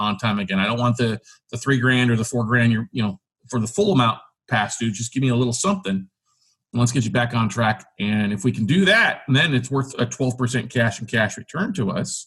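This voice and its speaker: Moving at a fairly quick pace, a man uses an ordinary speaking voice at medium pitch with ordinary pitch variation. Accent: American. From South Texas. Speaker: real estate investor and podcast host. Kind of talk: podcast interview.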